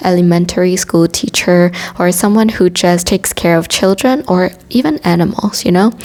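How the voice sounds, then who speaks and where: Over noticeable background noise, a woman with a non-native accent speaks at a moderate pace and medium pitch. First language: not English. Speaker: tarot reader. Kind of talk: tarot reading monologue.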